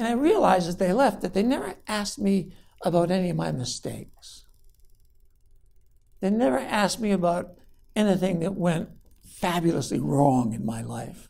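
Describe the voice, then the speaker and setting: A man's high-pitched voice with a dark, mellow tone and lively intonation, broken by long, frequent pauses, with audible room echo. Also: moderate pace. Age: 60s. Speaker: college professor. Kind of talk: lecture.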